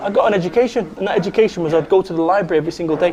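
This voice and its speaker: Over noticeable background noise, a man with a Mancunian accent talks at a very fast pace in a high pitch, with an animated tone and lively intonation. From northern England, Salford, Manchester. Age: 40s. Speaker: motivational speaker. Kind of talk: interview. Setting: cafe.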